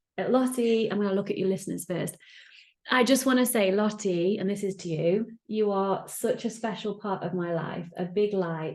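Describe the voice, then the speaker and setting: A woman's medium-pitched voice with an English accent, at a fairly quick pace. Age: 30s. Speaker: podcast host. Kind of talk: casual chat. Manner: animated.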